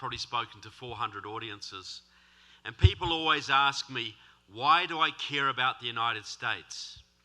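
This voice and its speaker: With a New Zealand accent, a man speaks at a moderate pace in a fairly high pitch, his tone bright and sharp and his intonation lively. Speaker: author and political speaker. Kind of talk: speech. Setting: stage with audience. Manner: animated.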